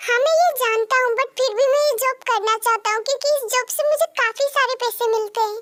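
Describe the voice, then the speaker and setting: A woman uses a put-on character voice at a fairly quick pace, the sound dry and close with no echo. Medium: read story. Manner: gentle and warm.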